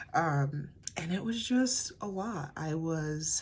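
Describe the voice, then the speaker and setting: Audible room echo around a woman's somewhat breathy voice. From US, Colorado (Pueblo). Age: 20s. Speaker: podcaster, mom. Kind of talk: casual personal monologue. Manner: halting, many fillers.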